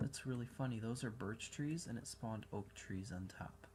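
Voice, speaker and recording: A man with an American accent speaks at a moderate pace. His voice is somewhat breathy, with lively intonation. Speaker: gaming video reviewer. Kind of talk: gameplay commentary. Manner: animated.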